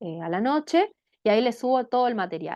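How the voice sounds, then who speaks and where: The speaker, a woman, keeps a moderate pace. Her pitch moves in very wide swings. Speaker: teacher. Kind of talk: lecture.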